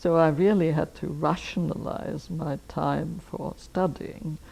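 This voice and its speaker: A woman talks with an Austrian accent. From Austria, Vienna. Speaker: anthropologist. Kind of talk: life history interview. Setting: filmed interview.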